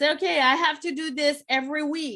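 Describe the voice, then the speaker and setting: A woman with a Quebec accent speaks in a raised, projected voice at a high pitch. Her pace is moderate and her pitch varies in an ordinary way. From Quebec, Montreal. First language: French. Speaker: business coach. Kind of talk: online workshop presentation. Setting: live stream.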